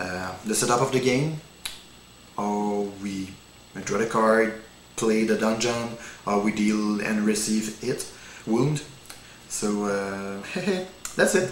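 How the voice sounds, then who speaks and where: Speaking very slowly with long, frequent pauses, a man with a French accent uses a fairly low pitch and ordinary pitch variation, amid noticeable background noise and audible room echo. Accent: non-native English, French. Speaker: card game demonstrator. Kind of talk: tutorial. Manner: halting, many fillers.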